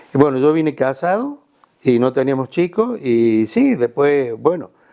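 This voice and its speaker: A man's fairly high voice with a dark, mellow tone at a fairly slow pace. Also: lively intonation. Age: 70s. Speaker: retired surgeon, physician. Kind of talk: interview, casual conversation.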